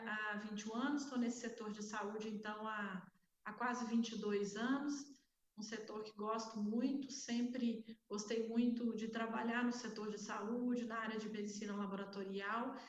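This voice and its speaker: A woman with a Minas Gerais accent speaks at a moderate pace in a somewhat breathy, monotone voice with flat intonation, and audible room echo surrounds her. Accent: Minas Gerais accent, unchanged. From Minas Gerais, Brazil. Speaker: healthcare executive, panelist. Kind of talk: panel debate self-introduction. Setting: online event.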